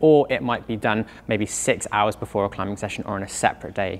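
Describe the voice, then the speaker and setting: A man's fairly low voice at a very fast pace, with ordinary pitch variation. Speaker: climbing coach. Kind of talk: tutorial. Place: gym. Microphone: lapel.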